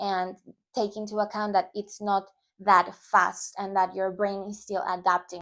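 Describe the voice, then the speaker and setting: On a very clean recording with a silent background, a woman with a Spanish accent speaks at a moderate pace and medium pitch in a monotone, flat intonation. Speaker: language teacher YouTuber. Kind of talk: tutorial. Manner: casual, with hesitations.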